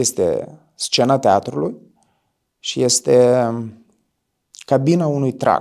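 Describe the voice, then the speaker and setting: Over a quiet background, a man talks at a very slow pace with ordinary pitch variation. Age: 20s. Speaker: stage actor. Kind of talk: interview testimony. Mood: reflective, thoughtful. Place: studio. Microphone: lapel.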